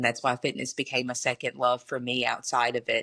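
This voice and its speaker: Over a silent background in a very clean recording, a woman with a Southern US accent speaks at a fairly quick pace in a very deep, low pitch. Her tone is bright and sharp, and the sound is dry and close with no echo. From US South, Mississippi (Pontotoc). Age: 20s. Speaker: math teacher. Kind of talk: casual interview.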